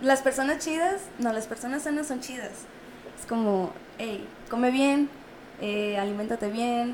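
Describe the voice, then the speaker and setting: A woman with a Mexican accent and a high pitch speaks at a fairly slow pace, with long, frequent pauses and ordinary pitch variation. Her loudness swings widely over noticeable background noise. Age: 20s. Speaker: entrepreneur. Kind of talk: casual chat. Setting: studio.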